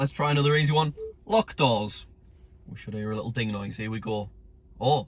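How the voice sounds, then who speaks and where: Speaking with a Northern English accent at a fairly quick pace, a man uses a somewhat breathy, medium-pitched voice with ordinary pitch variation, big swings in loudness, and long, frequent pauses. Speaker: YouTuber testing car features. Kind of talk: casual video commentary. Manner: animated.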